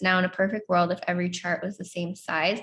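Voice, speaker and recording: At a moderate pace, a woman talks in a somewhat breathy voice of medium pitch. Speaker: astrology teacher. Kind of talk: lecture. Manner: chatty; hesitant.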